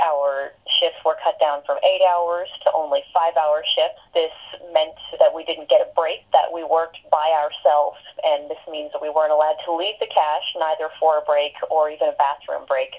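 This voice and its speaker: Through noticeable background noise, a woman keeps a moderate pace. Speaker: barista and worker organizer. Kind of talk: interview. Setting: phone call.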